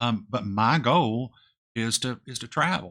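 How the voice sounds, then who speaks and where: In a very clean recording with a silent background, a man mumbles at a medium pitch in a bright, sharp tone with ordinary pitch variation. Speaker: retirement finance youtuber. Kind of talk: casual vlog talk to camera. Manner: mumbling, voice drops off; hesitant with fillers.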